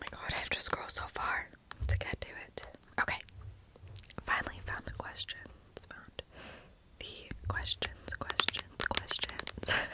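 Someone whispers at a fairly slow pace with long, frequent pauses and a playful tone. Noticeable background noise runs underneath. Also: woman. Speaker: ASMR content creator. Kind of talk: ASMR trigger video, casual talk to camera. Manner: soft, repetitive, playful.

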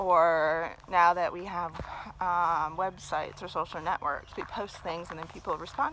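A woman with a fairly low pitch speaks at a fairly slow pace with fairly even intonation, in a dry sound with no echo and light background noise. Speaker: vlogger. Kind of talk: casual vlog chat. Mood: reflective, occasional laughs. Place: forest. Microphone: phone near.

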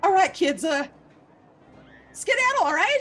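The speaker performs a put-on character voice at a moderate pace. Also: woman, extremely high pitch for a woman. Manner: goofy.

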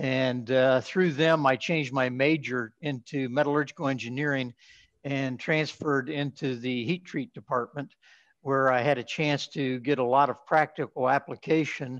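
Against a quiet background, a man with an American accent talks at a moderate pace and medium pitch with fairly even intonation. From southeastern Ohio. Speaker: metallurgical engineer and heat treat executive; podcast guest. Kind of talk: interview. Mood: calm, reflective. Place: home room. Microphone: webcam.

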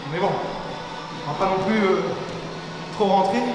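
A man's voice amid noticeable background noise and audible room echo. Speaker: fitness coach. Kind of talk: workout instruction. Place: gym.

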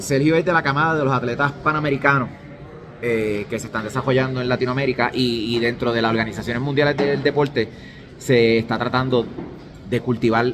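Noticeable background noise fills the recording. Through it, a man talks at a medium pitch. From Latin America. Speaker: armwrestling channel interviewer. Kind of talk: sports interview. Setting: at a competition venue. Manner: halting.

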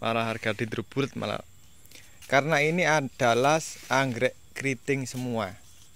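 With an upbeat tone, a man speaks at a moderate pace and medium pitch, with ordinary pitch variation and a dry sound with no echo. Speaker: orchid seller. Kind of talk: sales pitch. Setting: video at the orchid stock, seller speaking to camera. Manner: upbeat, persuasive, direct appeal to buyers. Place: garden. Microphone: phone near.

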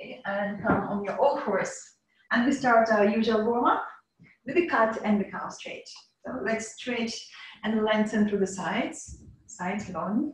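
This woman has an unremarkable speaking voice, fairly high in pitch. She talks at a fairly slow pace. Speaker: yoga teacher. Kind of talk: guided yoga class instruction. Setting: video call. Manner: calm, soothing.

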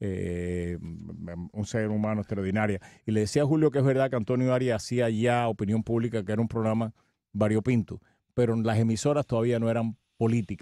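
A man speaks at a fairly quick pace in a dark, mellow tone. The sound is dry with no echo, over a quiet background. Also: ordinary pitch variation. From Cuba. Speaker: radio veteran; radio host or guest. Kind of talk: casual chat. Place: studio. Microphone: studio mic.

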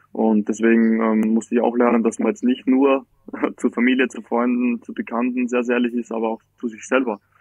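His intonation stays flat and monotone. The man's voice sits at a medium pitch. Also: fairly quick pace. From Austria, Styria (Graz). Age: 20s. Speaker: farmer. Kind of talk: casual interview. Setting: remote call from holiday. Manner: hesitant, many fillers.

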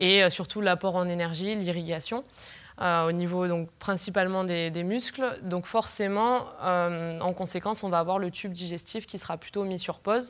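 A woman keeps her intonation fairly even while speaking at a moderate pace. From southern France (Pyrenees); southern France. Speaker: sports nutritionist. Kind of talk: interview. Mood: calm, explanatory. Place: studio.

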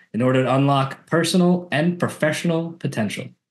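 A plain, everyday voice from a man, fairly high in pitch with ordinary pitch variation, over a quiet background. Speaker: podcast host. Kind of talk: podcast interview. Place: home room. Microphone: video call.

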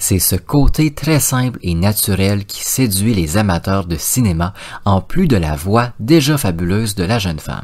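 A man with an English accent speaks at a fairly slow pace in a fairly low pitch, his intonation lively. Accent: English-speaking accent in French. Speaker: podcast host. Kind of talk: scripted narration.

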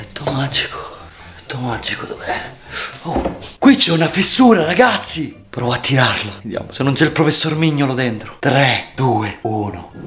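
A man speaks at a moderate pace amid noticeable background noise. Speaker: kids' channel vlogger. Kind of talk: playful vlog chat to camera. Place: home room. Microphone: phone near.

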